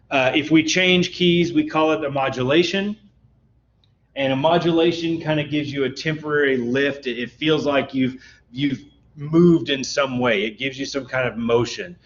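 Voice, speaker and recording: At a moderate pace, a man with a plain, everyday voice talks at a fairly high pitch with ordinary pitch variation. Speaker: music instructor. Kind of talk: lecture. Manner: casual, with many fillers.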